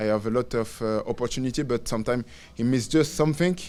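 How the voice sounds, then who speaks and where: A man speaks in a French accent at medium pitch. His intonation shows ordinary pitch variation. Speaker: professional footballer. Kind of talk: press conference. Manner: halting, many fillers and repeats.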